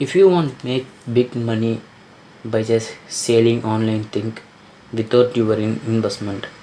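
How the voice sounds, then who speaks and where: Speech comes at a fairly slow pace. It carries a non-native accent. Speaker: online business vlogger. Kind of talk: screen-recorded tutorial talk. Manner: casual, enthusiastic.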